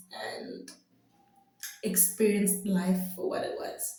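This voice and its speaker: A woman talks very slowly, and room echo is audible. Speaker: vlogger. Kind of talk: casual vlog monologue. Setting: home video, pretend mic. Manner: loud, bubbly.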